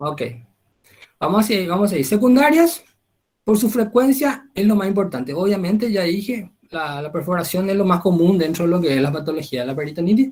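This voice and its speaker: This man's voice is high, with lively intonation. He talks fairly quickly. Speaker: medical lecturer. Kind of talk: lecture.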